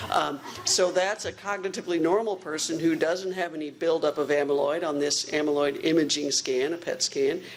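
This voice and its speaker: The pace is fairly quick, with noticeable background noise throughout. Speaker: research physician. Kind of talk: lecture. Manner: fast.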